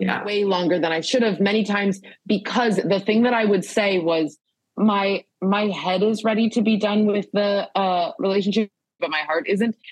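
A woman's medium-pitched voice with ordinary pitch variation, very even loudness and a moderate pace, a normal speaking voice. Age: 30s. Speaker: comedian. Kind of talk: casual chat.

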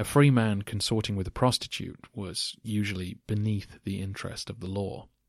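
This man has a normal speaking voice, fairly low in pitch, moving at a moderate pace with fairly even intonation on a very clean recording with a silent background. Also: hardly any pauses. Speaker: podcast host. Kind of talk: scripted-style answers to listener questions, educational talk.

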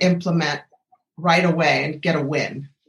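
The woman's somewhat breathy voice moves at a fairly slow speed. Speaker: medical doctor and podcast host. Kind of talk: interview. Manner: animated.

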